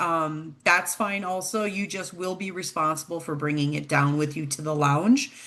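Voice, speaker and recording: A woman speaks with an Upper Midwest accent. Her pace is moderate and her pitch varies in an ordinary way. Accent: Upper Midwest American. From Minnesota. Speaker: travel program director. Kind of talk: informational presentation.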